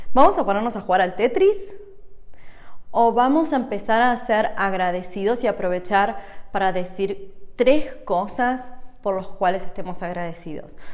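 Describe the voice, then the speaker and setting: Speaking at a fairly slow pace in a Rioplatense accent, a woman uses a medium pitch with ordinary pitch variation. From Argentina. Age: 30s. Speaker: holistic coach and podcast host. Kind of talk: casual monologue.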